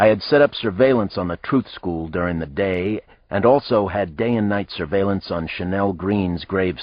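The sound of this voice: Delivered in an unforced reading voice, the speech shows ordinary pitch variation.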